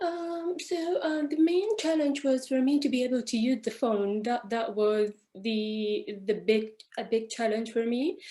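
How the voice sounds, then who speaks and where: Speaking fairly slowly with a non-native accent, a woman has a high pitch, a dark, mellow tone and lively intonation. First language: not English. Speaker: architect. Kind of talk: panel discussion. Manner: halting.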